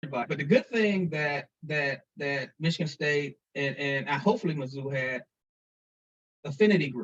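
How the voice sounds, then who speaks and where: With a Missouri accent, a man speaks in a somewhat breathy voice at a fairly high pitch. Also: ordinary pitch variation, moderate pace. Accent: Missouri country. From St. Louis, Missouri. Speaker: foundation president. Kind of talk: interview. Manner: halting, many repeated words.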